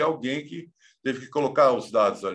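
Against a quiet background, a man speaks with a bright, sharp tone and a fairly high pitch. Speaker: professor and author. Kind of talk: interview.

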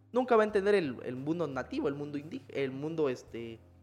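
Over music in the background, a man with a fairly high pitch speaks with very wide pitch swings. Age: 20s. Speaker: historian. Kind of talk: casual conversational interview. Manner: hesitant, repeats words.

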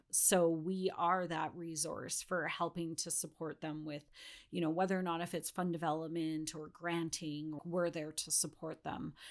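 A woman's fairly low voice with a Western Canadian accent, monotone and flat in intonation. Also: moderate pace, very clean recording, silent background. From British Columbia, Canada. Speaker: non-profit fundraising director. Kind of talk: casual interview.

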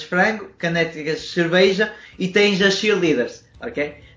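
Against noticeable background noise, a man speaks at a fairly slow pace with fairly even intonation. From Portugal. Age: 20s. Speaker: podcast host and entrepreneur. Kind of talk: casual interview. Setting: video call.

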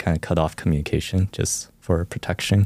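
A man speaks with a Californian accent at a very deep, low pitch, his tone dark and mellow. His intonation is fairly even, and the sound is dry and close with no echo. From US West Coast, Orange County, California. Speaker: campus minister. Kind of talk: interview about faith journey. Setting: studio.

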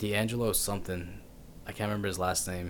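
Speaking at a fairly quick pace, a man with an American accent keeps a fairly low pitch and a monotone, flat intonation. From Texas, Pasadena. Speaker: podcast host. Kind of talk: casual chat.

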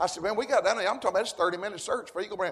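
Over noticeable background noise, a man with a high voice speaks very fast in an animated tone with ordinary pitch variation. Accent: Southern US. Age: 60s. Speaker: preacher. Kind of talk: sermon. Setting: church with congregation. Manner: animated, fervent preaching with call-and-response.

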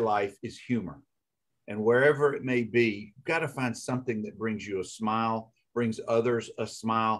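This man speaks with a Southern US accent at a medium pitch. His pace is moderate and his pitch variation ordinary. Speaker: podcast host, lawyer. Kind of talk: casual interview chat.

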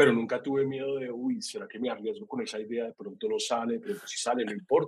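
Words come out very fast. Pauses barely occur. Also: man. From Colombia. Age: 40s. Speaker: creative producer. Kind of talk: casual interview. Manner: halting, many repetitions.

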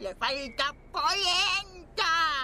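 In a put-on character voice, a woman speaks at a very slow pace with extremely high pitch, lively intonation and a bright, sharp tone.

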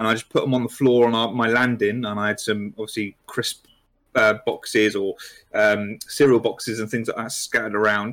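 A man with a British accent talks at a fairly quick pace in a monotone, flat way. The recording is very clean, with a silent background. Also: medium pitch for a man. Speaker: hobby social media manager and YouTuber. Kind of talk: casual chat. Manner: low energy, sedate.

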